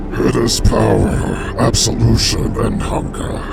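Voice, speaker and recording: A man speaks at a fairly slow pace in a put-on character voice, with loud background noise behind him. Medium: machinima. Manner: menacing, grandiose.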